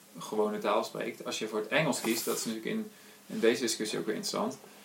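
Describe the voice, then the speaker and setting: A man talks while noticeable noise carries on in the background. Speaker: podcast host. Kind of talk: casual chat.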